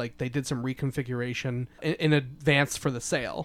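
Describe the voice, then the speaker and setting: Speaking at a moderate pace, a man uses a plain, everyday voice at a medium pitch in a very clean recording with a silent background. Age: 20s. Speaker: podcast host and newspaper writer. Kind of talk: casual chat.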